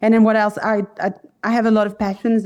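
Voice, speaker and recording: A woman is speaking. Her tone is dark and mellow. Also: quiet background. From France. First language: French. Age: 40s. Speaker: podcast guest. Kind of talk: interview. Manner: animated.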